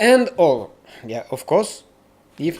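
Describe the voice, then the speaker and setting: A man talks with a Russian accent. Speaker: live stream reaction host. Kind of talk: live stream commentary. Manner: halting.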